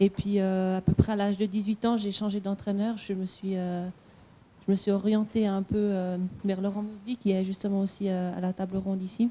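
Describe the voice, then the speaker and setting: A woman's somewhat breathy voice, dark and mellow in tone, with monotone, flat intonation. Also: medium pitch for a woman, moderate pace. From French-speaking Switzerland, Vaud. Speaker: Olympic sprinter. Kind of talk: panel discussion. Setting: conference with audience. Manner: halting.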